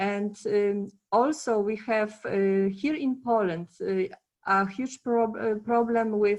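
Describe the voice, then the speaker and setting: A woman with a Polish accent speaks at a very slow pace. Her pitch is medium, with ordinary pitch variation. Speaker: conference panelist, former project manager. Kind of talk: panel discussion. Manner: halting, many fillers.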